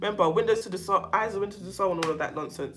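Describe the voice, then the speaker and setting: A woman talks in an animated tone with a London accent. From London, England. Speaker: self-help channel host on narcissistic abuse. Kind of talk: casual livestream chat with viewers. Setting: livestream.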